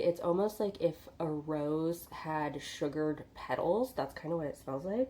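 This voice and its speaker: A woman speaks in a dark, mellow tone. Her pace is moderate and her pitch variation ordinary. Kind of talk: casual talk to camera. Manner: chatty.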